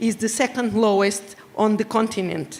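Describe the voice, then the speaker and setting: The speaker has a Portuguese accent, a moderate pace and fairly even intonation. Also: woman. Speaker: regional government official. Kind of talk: prepared speech read aloud. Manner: halting.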